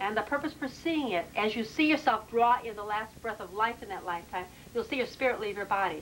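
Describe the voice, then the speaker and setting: Noticeable noise sits behind a woman's fairly high voice. Her intonation is lively. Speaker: past life regression therapist. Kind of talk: explanatory interview with client. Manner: loud.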